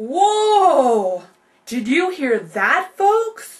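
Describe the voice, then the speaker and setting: Loud and extremely high, a woman's put-on character voice leaps through very wide pitch swings. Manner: mock horror, loud.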